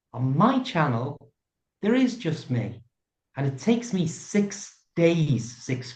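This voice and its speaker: A man with a British accent speaks very slowly at a fairly high pitch, with very wide pitch swings. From UK. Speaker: YouTuber. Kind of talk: interview answer.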